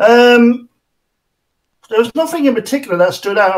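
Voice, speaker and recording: A man speaks with a British accent. His intonation is lively. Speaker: tabletop game designer. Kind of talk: interview.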